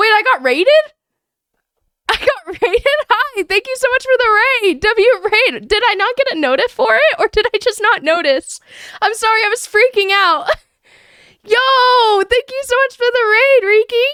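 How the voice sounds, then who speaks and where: At a moderate pace, a woman projects a raised voice at an extremely high pitch, her tone bright, sharp and animated, with lively intonation. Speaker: streamer. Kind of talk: casual chat.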